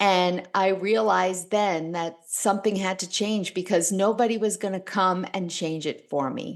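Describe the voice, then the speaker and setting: A woman with a plain, everyday voice speaks at a medium pitch and moderate pace. Her intonation is fairly even, with hardly any pauses. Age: 60s. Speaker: author and speaker. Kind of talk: interview.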